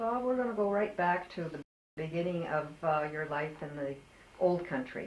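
A woman talks at a moderate pace with lively intonation and a fairly low pitch. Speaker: oral history interviewer. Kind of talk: oral history interview. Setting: interviewee's home. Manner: hesitant, many fillers. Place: home room. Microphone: old recording.

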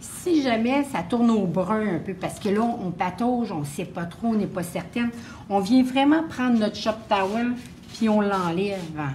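A woman with a Quebec accent and lively intonation, fairly slow in pace, over light background noise. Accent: Québécois French. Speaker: painting instructor; painting teacher. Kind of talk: live painting demonstration; tutorial. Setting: live stream at open house. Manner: hesitant, many fillers. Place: classroom.

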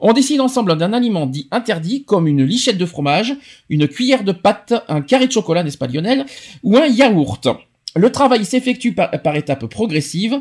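A man with a high pitch speaks at a fairly quick pace, his pitch swinging very widely. The recording is very clean, with a silent background. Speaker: radio show host. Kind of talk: casual chat. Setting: studio.

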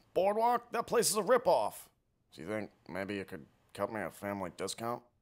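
Using a put-on character voice, a man speaks at a fairly quick pace and medium pitch. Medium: comedy sketch. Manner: mild, whiny.

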